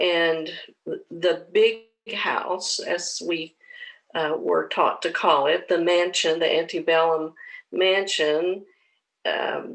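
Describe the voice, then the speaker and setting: With an Appalachian accent, a woman speaks at a very slow pace with long, frequent pauses. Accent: Appalachian Southern US. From southwest Virginia (Russell County). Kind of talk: personal testimony. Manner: halting, many fillers.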